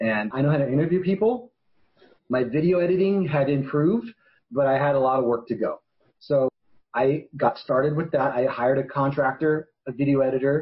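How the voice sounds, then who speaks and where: A somewhat breathy man's voice, fairly high in pitch, with ordinary pitch variation and a moderate pace. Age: 40s. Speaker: attorney and documentary maker. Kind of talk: interview answer.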